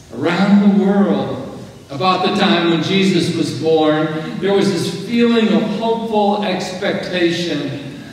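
In a room with strong echo and light background noise, a man speaks very slowly at a high pitch with ordinary pitch variation. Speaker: preacher. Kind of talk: sermon. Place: church.

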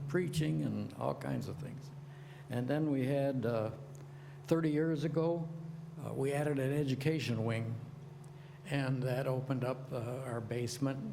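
A man at a fairly high pitch and moderate pace, fairly even in intonation, with audible room echo and noticeable background noise. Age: 80s+. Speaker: retired school teacher speaking at public comment. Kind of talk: public comment at a zoning meeting. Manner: halting, many fillers and restarts.

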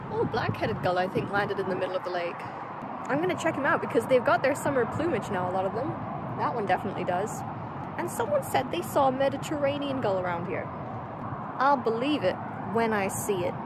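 Very fast speech comes through with a dry sound, no echo, and loud background noise. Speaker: birding vlogger. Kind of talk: casual vlog chat. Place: waterside. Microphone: phone near.

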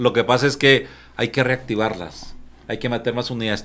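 A man's medium-pitched voice at a moderate pace. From Mexico, Chihuahua. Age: 50s. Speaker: union leader; guest. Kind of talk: casual chat. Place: studio. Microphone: studio mic.

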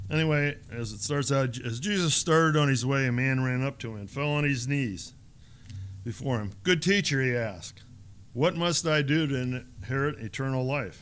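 A man with an American accent speaks at a moderate pace and medium pitch, with ordinary pitch variation. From Ohio. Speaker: lay church leader leading Bible study. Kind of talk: Bible study and prayer. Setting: conference room with audience. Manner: halting, many fillers. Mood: calm, slight self-correction humor. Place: hall. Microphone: podium.

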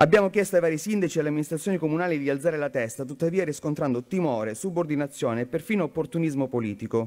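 A man with a Calabrian accent at a very fast pace, with hardly any pauses. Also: fairly high pitch for a man, ordinary pitch variation. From Calabria, southern Italy. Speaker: member of parliament; politician giving a speech. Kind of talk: conference speech. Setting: conference hall. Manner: formal. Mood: earnest, critical. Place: hall. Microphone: podium.

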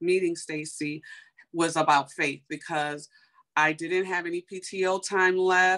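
A woman with an American accent speaks at a fairly slow pace and a fairly low pitch, her tone bright and sharp. Her intonation stays monotone and flat over a quiet background. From US Midwest, Chicago. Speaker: beauty entrepreneur; guest. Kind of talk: testimony. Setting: video call. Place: home room. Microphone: video call.

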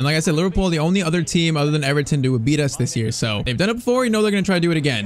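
A man talks fast, his pitch fairly high.

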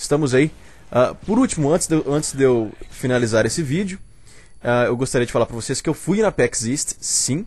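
A man with a Brazilian accent speaks at a moderate pace with lively intonation. His voice is fairly high in pitch and somewhat breathy. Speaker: gaming channel host. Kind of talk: casual video commentary. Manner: informal, many filler sounds.

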